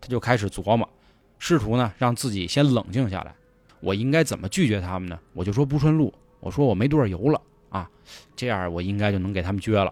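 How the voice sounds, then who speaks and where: On a very clean recording with a silent background, a man with a fairly low voice speaks at a fairly quick pace, sounding animated, with lively intonation. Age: 30s. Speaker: podcast host and storyteller. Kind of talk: scripted storytelling narration. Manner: animated, colloquial.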